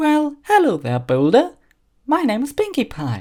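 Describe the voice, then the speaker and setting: Using a put-on character voice at an extremely high pitch, a man speaks at a moderate pace on a very clean recording with a silent background. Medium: read story. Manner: gleeful, excitable.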